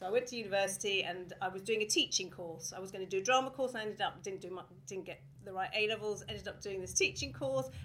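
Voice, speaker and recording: Speaking very fast with a southern English accent, a woman shows ordinary pitch variation. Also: medium pitch for a woman, big swings in loudness. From England (Watford). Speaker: theatre artistic director. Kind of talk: talk to live audience. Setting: stage with audience.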